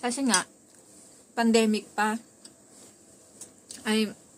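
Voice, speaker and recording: This is a woman speaking. Her pitch is medium. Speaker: vlogger. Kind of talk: casual vlog monologue. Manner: soft-spoken at times, quieter when others are home.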